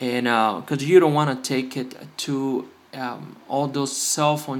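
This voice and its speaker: Fairly slow speech from a man at medium pitch. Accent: Spanish. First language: Spanish. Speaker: phone repair youtuber. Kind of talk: tutorial. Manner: halting, many fillers.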